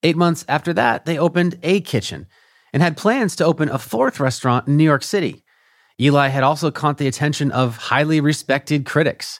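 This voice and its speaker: A man with a normal speaking voice, fairly high in pitch, fairly quick, with ordinary pitch variation, recorded very cleanly and dry and close with no echo against a silent background. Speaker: podcast host and narrator. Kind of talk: scripted narration and interview.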